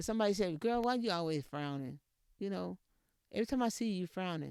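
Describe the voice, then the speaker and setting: The voice carries an American accent on a very clean recording with a silent background. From Texas, rural area near Edna. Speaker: podcast host. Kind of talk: motivational talk. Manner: repetitive, emphatic.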